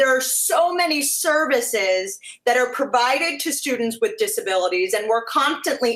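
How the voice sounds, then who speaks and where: A woman talks at a moderate pace in a high voice with lively intonation. Noticeable background noise can be heard. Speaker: interviewer. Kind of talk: interview questions.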